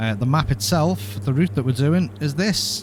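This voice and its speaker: A man at a moderate pace with a Liverpool accent. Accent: Scouse. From Liverpool, England. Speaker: flight sim streamer. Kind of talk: live stream commentary. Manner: mumbles at times; casual, chatty.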